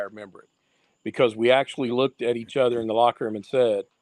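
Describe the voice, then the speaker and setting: Words come very fast from a man with an American accent. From Eastern Kentucky. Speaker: retired baseball umpire. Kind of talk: casual interview chat.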